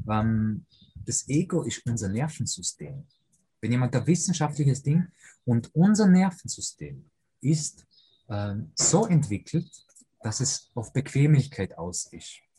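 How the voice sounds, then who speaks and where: A man's fairly high yet dark, mellow voice with an Austrian accent, somewhat breathy, very slow, full of long, frequent pauses and very wide pitch swings. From Austria, Vorarlberg (Lake Constance), moved from Poland as a boy. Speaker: personal coach for fathers, former pro footballer. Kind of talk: interview.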